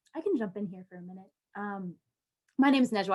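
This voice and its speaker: A plain, everyday voice, a woman of medium pitch at a fairly quick pace with ordinary pitch variation. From United States. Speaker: alumni panelist. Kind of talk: panel discussion. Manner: casual, many filler words.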